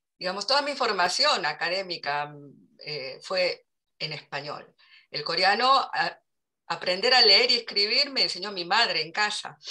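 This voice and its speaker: Speaking at a fairly slow pace, a woman swings very widely in pitch and makes big jumps in loudness. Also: medium pitch for a woman. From Argentina. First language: Korean (speaking Spanish). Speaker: literary translator. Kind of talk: interview. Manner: halting.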